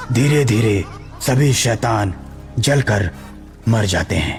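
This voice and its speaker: Against clear music in the background, a man does a cartoonish character voice at a medium pitch and a fairly slow pace. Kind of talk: horror story narration.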